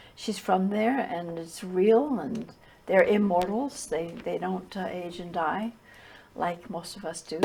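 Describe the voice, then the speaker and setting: Noticeable background noise accompanies a woman with a medium pitch. She speaks at a fairly slow pace with ordinary pitch variation. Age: 80s+. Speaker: spiritual teacher. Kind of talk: interview. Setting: TV studio. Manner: halting, with repetitions.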